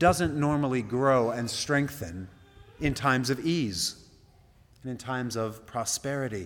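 A man's voice comes through. Ordinary pitch variation runs through his speech. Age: 40s. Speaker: pastor. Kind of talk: sermon. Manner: halting.

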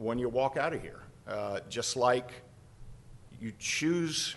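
Lively in intonation, a man at medium pitch speaks at a very slow pace. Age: 50s. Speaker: humorist author and speaker. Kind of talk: talk to a lunch group.

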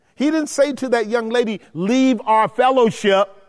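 Extremely high in pitch, a man talks in an animated tone at a fairly slow pace. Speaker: Bible study teacher. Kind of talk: Bible study lecture with Q&A. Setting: church room with live audience and mics. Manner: animated, rhetorical questioning.

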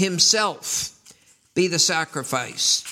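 A man speaks with an American accent. His pitch sits high. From US Northeast, New York City. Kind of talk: sermon.

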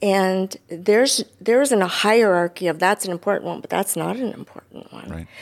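This woman has a plain, everyday voice at a medium pitch with an American accent, speaking at a moderate pace with ordinary pitch variation, big swings in loudness and hardly any pauses. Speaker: church member. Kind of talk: testimony.

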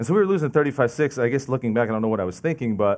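The speaker has an American accent. The pitch varies in an ordinary way. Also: man. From New Jersey, Lincoln Park. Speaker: lay preacher. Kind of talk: sermon. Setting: church, seated with audience. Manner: fast.

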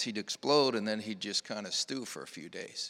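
On a very clean recording with a silent background, a man with an American accent talks at a fairly quick pace, his fairly low voice bright and sharp in tone. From US Midwest, northeast Ohio. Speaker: church member sharing family story. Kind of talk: testimony.

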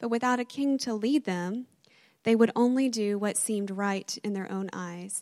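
Recorded very cleanly against a silent background with a dry, close sound and no echo, a woman speaks fairly slowly in a normal speaking voice with ordinary pitch variation. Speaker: church member reading advent reflection. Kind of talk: reflective reading. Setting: church with congregation.

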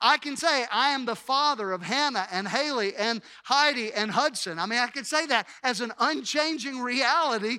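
On a very clean recording with a silent background, a man with a Mississippi accent uses a raised, projected voice at an extremely high pitch, bright and sharp in tone, at a moderate pace. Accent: US Southern (Mississippi). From Mississippi, Hattiesburg. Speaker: pastor. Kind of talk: sermon. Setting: church.

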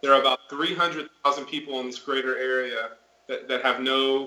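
With an ordinary speaking voice, a man with an American accent talks at medium pitch and a moderate pace. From Florida. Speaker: missionary. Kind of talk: interview. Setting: video call.

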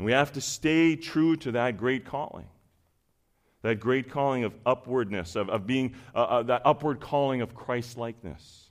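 A man speaks at a moderate pace in a normal speaking voice, his pitch sitting in the medium range. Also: ordinary pitch variation. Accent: Canadian. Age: 40s. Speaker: preacher. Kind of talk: sermon.

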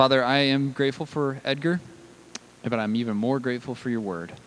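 At a fairly quick pace, a man talks with medium pitch and ordinary pitch variation. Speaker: pastor. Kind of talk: sermon. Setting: church.

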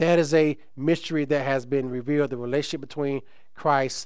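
A man with a normal speaking voice talks at a moderate pace. His pitch is fairly high, and his intonation is fairly even. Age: 50s. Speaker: pastor. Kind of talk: sermon. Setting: church.

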